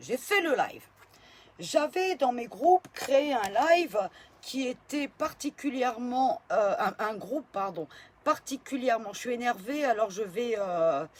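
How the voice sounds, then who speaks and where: Very wide pitch swings at a very slow pace. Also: woman, high pitch for a woman. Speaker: political video blogger. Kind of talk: casual vlog. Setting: at home in bed. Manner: hesitant, many fillers.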